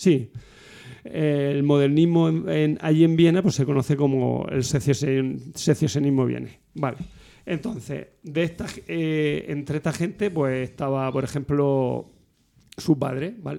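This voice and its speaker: A man with a fairly high pitch and a dark, mellow tone speaks very slowly with ordinary pitch variation. The recording is very clean, with a silent background. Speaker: podcast co-host. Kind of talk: casual chat among friends, humorous.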